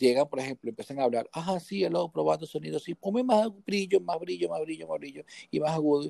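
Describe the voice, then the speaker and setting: A man with a dark, mellow tone speaks at a fairly quick pace, his pitch swinging very widely, in a dry, close sound with no echo. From Venezuela, Guatire (near Caracas). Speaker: sound engineer and music producer. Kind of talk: casual interview chat, technical advice. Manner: halting, frequent repetitions.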